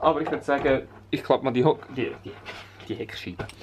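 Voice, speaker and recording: Music plays in the background. A man speaks with a Swiss accent. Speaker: vlogger. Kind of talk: casual talk to camera.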